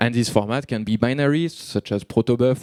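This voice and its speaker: A dark, mellow tone with ordinary pitch variation comes through in a dry, close sound with no echo. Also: man. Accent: French. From France. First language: French. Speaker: software developer, conference speaker. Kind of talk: conference talk. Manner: fast; halting.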